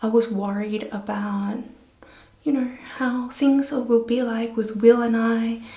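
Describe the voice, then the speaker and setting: In a room with audible echo and noticeable background noise, a woman speaks very slowly at a fairly high pitch, her intonation flat and monotone. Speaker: vlogger. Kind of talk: casual vlog talk. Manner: soft-spoken.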